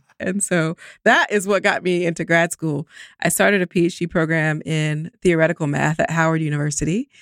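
A woman with an American accent speaks in an ordinary speaking voice at a fairly low pitch and moderate pace. The sound is dry and close with no echo, on a very clean recording with a silent background. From US South, Columbus, Georgia. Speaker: statistician and math professor. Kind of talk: interview conversation.

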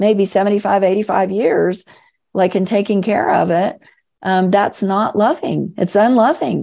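A woman with an American accent speaks at a moderate pace and a medium pitch. Her tone is dark and mellow, over a quiet background. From Florida. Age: 50s. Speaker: author and emotional healing coach. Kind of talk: interview, personal storytelling.

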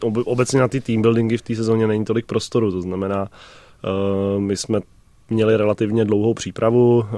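In a very clean recording with a silent background, a man with a dark, mellow tone and medium pitch talks at a fairly quick pace in a monotone, flat intonation. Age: 30s. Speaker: floorball goalkeeper. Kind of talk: radio interview. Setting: radio studio. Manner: hesitant, many fillers.

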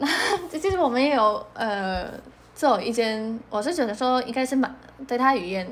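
In a room with audible echo, a woman with a high pitch talks at a moderate pace with lively intonation. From Poland. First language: Polish (speaking Chinese). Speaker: mother of bilingual children. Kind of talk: interview.

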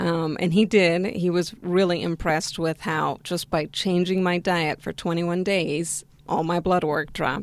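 In an ordinary speaking voice, a woman with an American accent speaks at a fairly slow pace and a fairly low pitch. She takes hardly any pauses, and her intonation stays fairly even. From West Virginia, US, in a Spanish-speaking Argentine family. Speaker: vegan diet success story guest. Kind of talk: interview.

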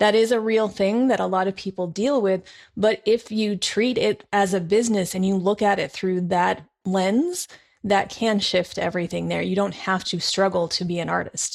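Recorded very cleanly against a silent background, a woman with an unremarkable speaking voice talks at a moderate pace with medium pitch and fairly even intonation. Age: 40s. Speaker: podcast host. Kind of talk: casual interview.

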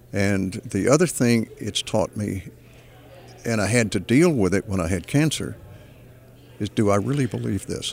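A man with an American accent talks at a fairly low pitch, his intonation lively and his voice showing vocal fry. He leaves long, frequent pauses. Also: moderate pace. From Texas. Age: 80s+. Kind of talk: interview.

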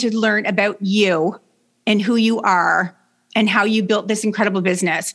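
A woman with a Canadian accent speaks at a moderate pace in a fairly high pitch, using a normal speaking voice on a very clean recording with a silent background. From Canada. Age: 60s. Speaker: leadership coach. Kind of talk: interview.

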